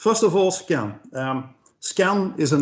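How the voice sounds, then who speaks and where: A man is speaking. His intonation is lively. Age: 60s. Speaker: patient advocate. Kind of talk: webinar presentation. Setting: video call webinar. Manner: hesitant, many filler sounds.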